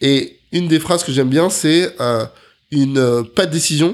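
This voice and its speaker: A man speaks in a normal speaking voice at fairly high pitch. His pitch variation is ordinary. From Paris region, France (Neuilly). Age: 30s. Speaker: agency founder and CEO. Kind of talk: interview.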